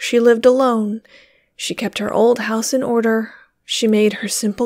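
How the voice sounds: Against a quiet background, a natural reading voice keeps fairly even intonation.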